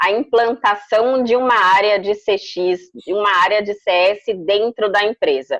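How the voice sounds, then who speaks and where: A woman speaks at a very slow pace with a medium pitch and ordinary pitch variation, in a dry, close sound with no echo over a quiet background. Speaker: customer experience consultant and speaker. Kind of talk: interview.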